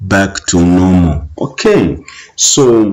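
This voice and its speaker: A man speaks with ordinary pitch variation. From Zambia. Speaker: teacher. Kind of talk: exam revision tutorial. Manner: hesitant, many fillers.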